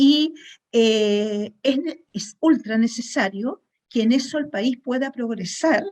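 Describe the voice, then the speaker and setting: At a very slow pace, a woman speaks with a high pitch. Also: ordinary pitch variation. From Chile. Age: 60s. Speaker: webinar attendee, food industry chemist. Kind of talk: audience question.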